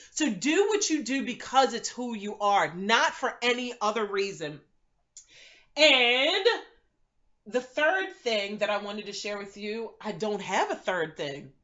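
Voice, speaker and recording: An animated woman at fairly high pitch, lively in intonation, at a fairly slow pace. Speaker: vlogger and business coach. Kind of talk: motivational vlog talk.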